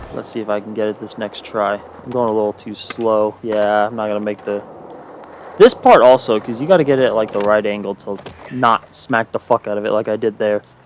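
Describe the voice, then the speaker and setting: A quiet man speaks fairly quickly in a flat monotone, his loudness swinging widely over noticeable background noise. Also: fairly low pitch for a man. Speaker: gaming youtuber. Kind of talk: gameplay commentary.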